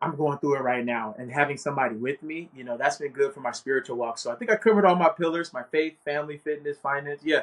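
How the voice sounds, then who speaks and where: A man's fairly high voice, very fast and with hardly any pauses, its pitch variation ordinary. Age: 30s. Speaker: financial services agent and life coach. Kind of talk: casual chat. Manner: animated.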